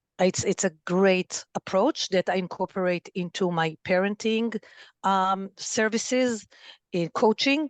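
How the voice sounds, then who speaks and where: With an Israeli accent and ordinary pitch variation, a woman speaks in a dry, close sound with no echo against a quiet background. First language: Hebrew. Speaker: family therapist and parent coach. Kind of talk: podcast interview.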